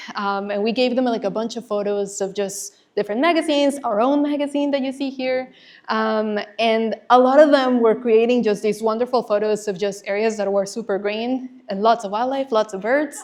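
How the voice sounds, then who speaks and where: A fairly high-pitched woman with a Spanish accent, ordinary pitch variation and hardly any pauses, over a quiet background. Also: moderate pace. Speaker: conservation nonprofit manager, former teacher. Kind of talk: presentation.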